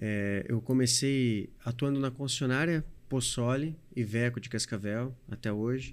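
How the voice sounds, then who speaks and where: A normal speaking voice with fairly even intonation at a fairly slow pace. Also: man. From Paraná, Brazil (Medianeira). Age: 40s. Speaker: trucking company owner. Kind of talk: podcast interview.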